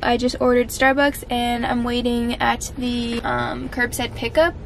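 Over light background noise, a woman talks at a high pitch. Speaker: vlogger. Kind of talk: casual vlog chat. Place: car. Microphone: phone near.

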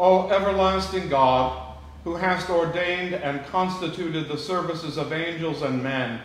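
With a solemn tone and audible room echo, a man talks at a fairly slow pace in a fairly high pitch with ordinary pitch variation. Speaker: priest. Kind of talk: liturgical prayer and sermon. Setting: church. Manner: solemn, reverent, measured. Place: church. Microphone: camera far.

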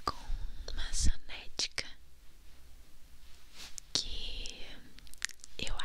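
Soft-spoken and whispering, a woman speaks at a very slow pace over light background noise. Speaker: ASMR creator. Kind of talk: soft ASMR intro chat. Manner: soft close-mic ASMR whisper. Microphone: studio mic.

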